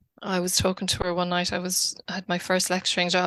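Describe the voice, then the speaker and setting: A woman speaks in an Irish accent at a medium pitch. Her tone is bright and sharp. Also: quiet background. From Ireland, Wicklow. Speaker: academic researcher and author. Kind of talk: podcast interview. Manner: hesitant, many fillers.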